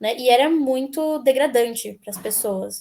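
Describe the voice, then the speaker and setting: A woman with a high voice speaks with ordinary pitch variation. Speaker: English teacher. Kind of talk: online class lecture. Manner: halting, many fillers.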